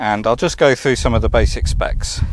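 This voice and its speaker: A man talks at a moderate pace with ordinary pitch variation, and the sound is dry with no echo. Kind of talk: casual walkaround commentary. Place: open country. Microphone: phone near.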